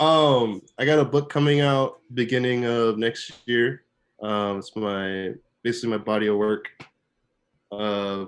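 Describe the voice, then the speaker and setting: Speaking fairly slowly, a man has a medium pitch, ordinary pitch variation and an unremarkable speaking voice. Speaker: fine art photographer. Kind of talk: casual chat. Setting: video call.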